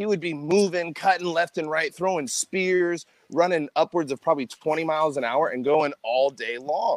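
Dry and close with no echo, a man with an American accent speaks at a moderate pace in an animated tone, his fairly high pitch showing ordinary variation. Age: 20s. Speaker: athletic trainer. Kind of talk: casual chat.

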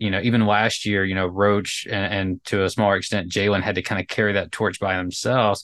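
A man with an American accent talks at a fairly quick pace with hardly any pauses. His pitch is fairly low, his intonation monotone and flat, and the background is quiet. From North Carolina. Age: 30s. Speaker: podcast host. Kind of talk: casual interview chat.

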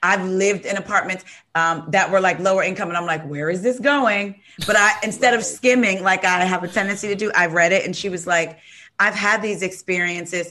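The pace here is fairly quick, with fairly even intonation. It is an unremarkable speaking voice. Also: woman, medium pitch for a woman. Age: 40s. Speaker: podcast host. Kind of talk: casual chat.

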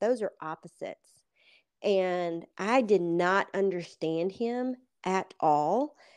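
Against a quiet background, a woman with an American accent speaks at a medium pitch with ordinary pitch variation. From US South, Atlanta. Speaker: author and ministry leader. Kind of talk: interview. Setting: call.

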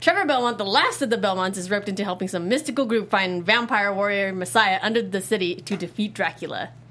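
With music in the background, a woman speaks very fast at a medium pitch. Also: ordinary pitch variation. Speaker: podcast host. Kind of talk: casual chat.

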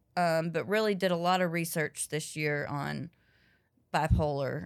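The voice carries a Southern accent. The recording is very clean, with a silent background. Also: woman. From US South, North Carolina. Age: 30s. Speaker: comedian. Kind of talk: casual interview.

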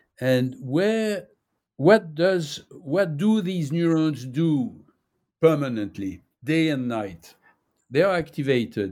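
Very slow speech with very wide pitch swings, in a French accent. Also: man, fairly high pitch for a man. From France (Nice). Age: 80s+. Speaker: neuroscientist and author. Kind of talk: interview. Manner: halting, many fillers and repetitions.

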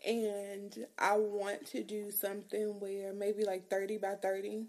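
At a fairly slow pace, a woman talks in a monotone, flat intonation at medium pitch, with a slightly mellow tone.

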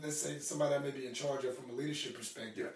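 Audible room echo around a man's fairly high voice, its pitch varying in an ordinary way. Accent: American. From Arkansas, US. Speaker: fitness business owner. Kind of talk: interview.

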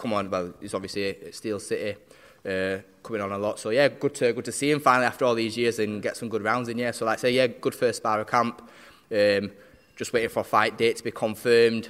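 In a South Yorkshire accent, a man speaks very fast at a medium pitch with fairly even intonation, on a very clean recording with a silent background. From South Yorkshire, Barnsley. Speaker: professional boxer. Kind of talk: interview. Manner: halting.

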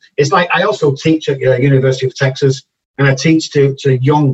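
In a Liverpool accent, a man speaks at medium pitch with fairly even intonation and a somewhat breathy sound. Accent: Liverpool (Scouse) English. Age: 50s. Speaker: addiction doctor. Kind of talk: interview.

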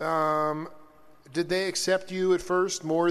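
A man talks at a very slow pace. His voice is high-pitched. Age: 40s. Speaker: radio host. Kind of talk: casual interview chat. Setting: studio. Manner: animated.

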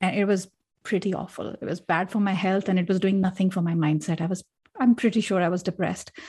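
Somewhat breathy and fairly quick, a woman talks at a medium pitch with fairly even intonation in a very clean recording with a silent background. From India, Delhi. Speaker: leadership coach. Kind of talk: interview conversation.

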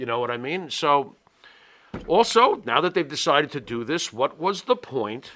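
At a moderate pace, a man with a fairly high pitch and a bright, sharp tone speaks with very wide pitch swings. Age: 50s. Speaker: wrestling podcast co-host. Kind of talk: casual chat.

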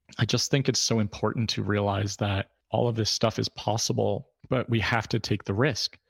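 Speaking at a moderate pace with hardly any pauses, a man has a fairly low pitch, vocal fry and fairly even intonation. His loudness stays very even in a very clean recording with a silent background. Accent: American. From New York, Hudson Valley. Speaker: podcast host and therapy practice owner. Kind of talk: casual monologue. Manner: conversational.

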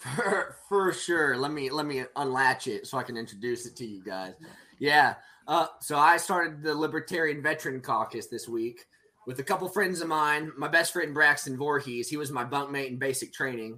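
An ordinary speaking voice from a man with an American accent, fairly high pitch, ordinary pitch variation and a moderate pace. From Oklahoma. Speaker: military veteran, libertarian activist. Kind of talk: casual chat.

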